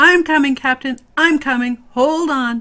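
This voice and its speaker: A female-sounding voice, high in pitch, is raised and projected in a put-on character voice at a fairly slow pace. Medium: read story.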